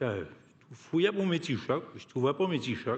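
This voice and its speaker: This man speaks with a strong Côte-Nord Quebec accent. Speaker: union activist, award recipient. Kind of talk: acceptance speech. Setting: hall with audience. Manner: halting, many repetitions and hesitations.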